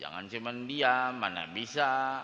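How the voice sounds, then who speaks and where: This is a man speaking. His pace is fairly slow. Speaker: Islamic preacher. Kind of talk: religious sermon. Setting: mosque.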